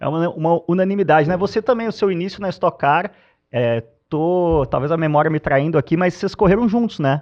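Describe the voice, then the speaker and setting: A man's fairly quick, high-pitched speech with ordinary pitch variation. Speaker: podcast host, motorsport commentator. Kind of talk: casual podcast chat.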